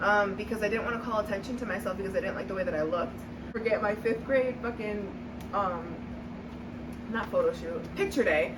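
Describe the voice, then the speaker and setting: A woman talks at a fairly quick pace and a fairly high pitch with ordinary pitch variation, with noticeable background noise and audible room echo. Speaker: podcast co-host. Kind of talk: casual chat. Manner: loud, high energy.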